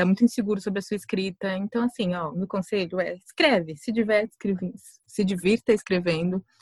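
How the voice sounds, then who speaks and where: On a very clean recording with a silent background and a dry, close sound with no echo, a woman of medium pitch talks at a very fast pace. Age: 20s. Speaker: writer. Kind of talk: casual chat.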